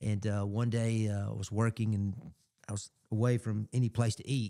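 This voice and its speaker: In a dry, close recording with no echo, a man with an Alabama accent speaks at a fairly low pitch in a flat monotone with a dark, mellow tone. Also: moderate pace. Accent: Southern US (Alabama). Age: 60s. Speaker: radio host. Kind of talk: casual chat. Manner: halting.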